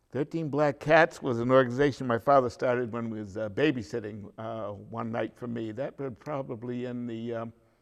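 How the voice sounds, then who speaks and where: A man with a Boston accent talks at a fairly quick pace and medium pitch, with ordinary pitch variation, hardly any pauses, and big swings in loudness. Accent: Boston-area New England. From Beverly, Massachusetts, New England. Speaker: local elder interviewee. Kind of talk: oral history interview. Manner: halting, many fillers.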